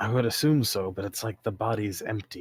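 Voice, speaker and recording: Raspy and delivered at a fairly quick pace with ordinary pitch variation, this put-on character voice sits on a very clean recording with a silent background. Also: man. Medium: actual play. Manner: terse, clipped.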